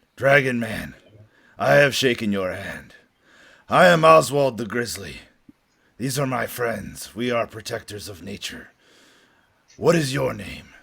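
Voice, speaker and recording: Raspy and medium-pitched, a man performs a put-on character voice with long, frequent pauses. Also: moderate pace. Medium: actual play. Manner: blunt, simple speech.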